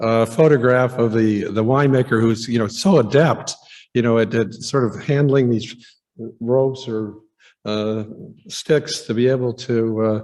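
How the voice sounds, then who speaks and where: A man with a medium pitch sounds shaky. He keeps a moderate pace and fairly even intonation. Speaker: archaeologist giving a lecture. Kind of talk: conference lecture. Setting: museum auditorium with audience. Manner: halting, many fillers.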